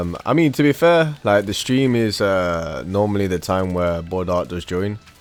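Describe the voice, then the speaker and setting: Music plays behind a man with an American accent and a fairly low pitch. He speaks at a moderate pace with lively intonation. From United Kingdom. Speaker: gaming streamer. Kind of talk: live gameplay stream chat. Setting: livestream. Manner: halting, many fillers; casual.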